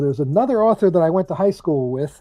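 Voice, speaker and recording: A man with a New Jersey accent talks in a high pitch and a dark, mellow tone. His pitch swings very widely. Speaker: author. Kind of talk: interview.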